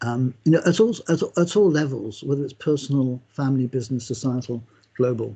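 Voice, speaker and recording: At a moderate pace, a man speaks in a medium pitch with ordinary pitch variation, his voice somewhat breathy and dark, mellow in tone. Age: 70s. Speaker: knowledge management speaker and author. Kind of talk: conference talk. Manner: halting, many repeated words and fillers.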